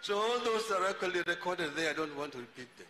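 A man's raised, projected voice with noticeable background noise behind it. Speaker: speaker. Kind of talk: public speech tribute. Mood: warm, respectful remembrance. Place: tent. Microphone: handheld.

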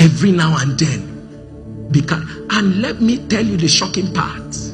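A man at a moderate pace, with clear music in the background. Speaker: preacher. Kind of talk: sermon. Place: church. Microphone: handheld.

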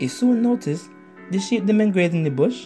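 Over background music, a man with an American accent speaks at a high pitch that swings very widely. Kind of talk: children's story narration.

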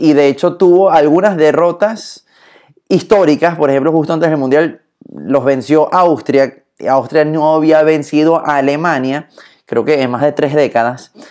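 Against a quiet background, a man speaks in an animated tone at a fairly slow pace, with ordinary pitch variation. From born in Germany, speaks from Latin America. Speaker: leadership speaker. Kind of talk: live stream talk on leadership. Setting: Instagram live stream. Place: home room. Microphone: phone near.

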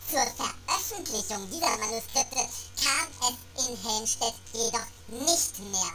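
Over music in the background, a woman with a fairly high pitch speaks very slowly, with lively intonation. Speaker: amateur reader. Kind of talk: reading aloud.

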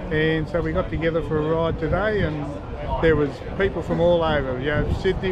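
Over loud background noise, a man speaks fairly quickly with ordinary pitch variation in a dry sound with no echo. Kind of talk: interview answer. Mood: warm, commemorative. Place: street. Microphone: phone near.

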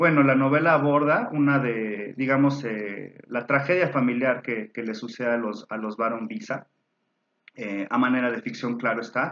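A man's voice keeps ordinary pitch variation as he goes along at a moderate pace. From Mexico. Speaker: book reviewer, university alumnus; book reviewer. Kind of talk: book recommendation talk. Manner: hesitant, many fillers and repetitions. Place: home room. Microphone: webcam.

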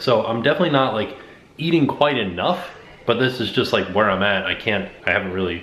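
With audible room echo and light background noise, a man speaks at a very fast pace. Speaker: family vlogger. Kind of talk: casual vlog chat. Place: kitchen. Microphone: phone near.

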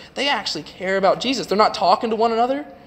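With a Southern US accent, the speaker goes at a very fast pace with ordinary pitch variation amid noticeable background noise. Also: man. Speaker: youth preacher. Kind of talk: sermon. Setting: church. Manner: informal.

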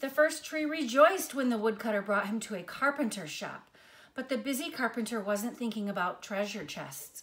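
A woman talks at a moderate pace with lively intonation. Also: fairly high pitch for a woman, fairly bright tone.

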